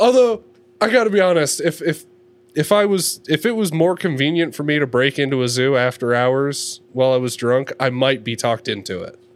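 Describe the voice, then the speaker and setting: A man speaks at a fairly quick pace in a plain, everyday voice. His pitch sits fairly high, and his intonation is lively. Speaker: podcast co-host. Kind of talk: casual chat.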